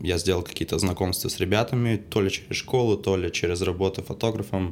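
This man's intonation stays fairly even while his pitch runs very deep and low. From Saint Petersburg, Russia. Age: 20s. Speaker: film crew technician. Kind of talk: casual chat.

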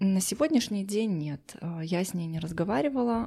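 A woman's dark, mellow voice at a moderate pace, in a very clean recording over a silent background. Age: 30s. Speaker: psychologist. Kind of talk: personal story interview.

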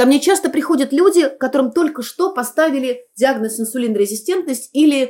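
A woman with a high pitch speaks at a moderate pace with very wide pitch swings. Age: 50s. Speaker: clinical psychologist. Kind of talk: interview. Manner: formal.

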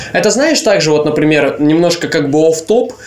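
A man's fairly high-pitched voice with lively intonation over noticeable background noise. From Leningrad Oblast, Russia. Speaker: podcast co-host. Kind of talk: casual chat.

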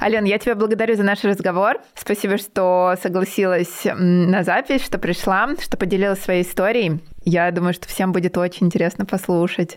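In a normal speaking voice, a woman talks at a moderate pace and medium pitch, her loudness very even and her intonation fairly even. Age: 30s. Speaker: podcast host, English teacher. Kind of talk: casual interview; scripted outro. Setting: remote video call.

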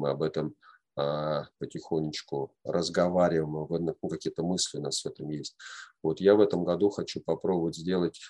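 The speaker is male. He has a very deep, low pitch. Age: 40s. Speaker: men's group facilitator. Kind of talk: lecture.

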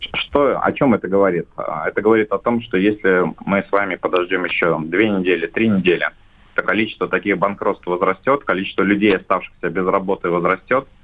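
With an unremarkable speaking voice, a man talks fairly quickly at a fairly low pitch with fairly even intonation. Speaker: shopping centre association head. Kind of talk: business interview. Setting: phone call.

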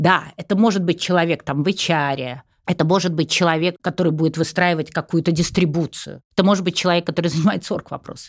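A woman with an unremarkable speaking voice, fairly low in pitch and fairly even in intonation, at a fairly quick pace, in a very clean recording with a silent background and a dry, close sound with no echo. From Russia, St. Petersburg. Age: 60s. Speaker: executive recruiter and psychology professor. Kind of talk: podcast interview.

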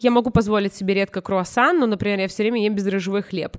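At a very fast pace, a woman with an animated tone speaks at a medium pitch in a dry, close sound with no echo. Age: 20s. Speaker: fashion stylist. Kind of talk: casual chat.

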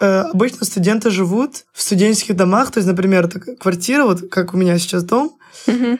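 A woman with an ordinary speaking voice talks at a fairly quick pace, her medium pitch showing ordinary pitch variation. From Russia, Saint Petersburg. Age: 20s. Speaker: university student. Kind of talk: casual chat.

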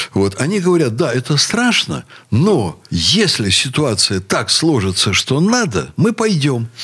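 At a very slow pace, a man with a fairly high pitch and vocal fry makes very wide pitch swings while keeping very even loudness. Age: 60s. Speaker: university rector. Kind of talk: radio talk show discussion.

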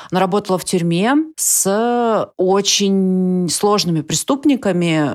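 In a very clean recording with a silent background, a woman at a medium pitch speaks at a very slow pace with hardly any pauses and ordinary pitch variation. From Siberia, Russia (Ust-Ilimsk). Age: 30s. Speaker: writer. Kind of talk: casual chat.

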